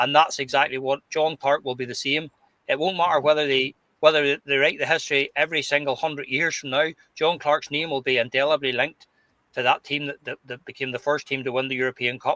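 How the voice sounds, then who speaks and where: A man with a Glasgow accent speaks at a fairly quick pace in a bright, sharp tone. His intonation is fairly even, and the sound is dry and close with no echo. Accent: Scottish (Glasgow). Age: 60s. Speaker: football podcast panelist. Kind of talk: casual chat. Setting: live stream. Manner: halting, repeats words.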